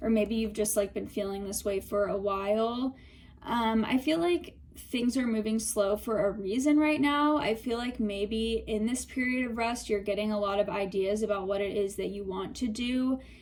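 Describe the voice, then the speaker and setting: Somewhat breathy, a woman speaks at a moderate pace with a fairly high pitch and ordinary pitch variation. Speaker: tarot reader. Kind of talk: tarot reading. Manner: casual, filler-heavy.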